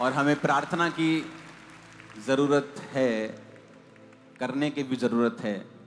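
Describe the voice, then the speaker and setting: A man talks with long, frequent pauses while music plays in the background. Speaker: pastor, church preacher. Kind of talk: church sermon.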